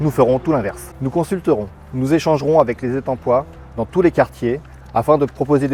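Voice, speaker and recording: A man talks at a very fast pace in a medium pitch. Background noise is noticeable. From France, Essonne. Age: 40s. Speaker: local election candidate, works director. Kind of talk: scripted campaign statement.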